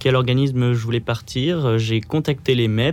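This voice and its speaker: This is a man with a medium-pitched, plain, everyday voice. His pitch varies an ordinary amount. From Pas-de-Calais, northern France. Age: 20s. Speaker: engineering student volunteer. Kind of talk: radio interview. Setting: studio.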